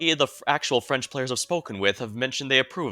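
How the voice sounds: A natural reading voice is heard. Text is being read aloud.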